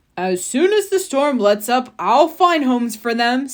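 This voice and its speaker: Putting on a character voice, a woman speaks at a high pitch and a moderate pace, her pitch swinging very widely. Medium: read story.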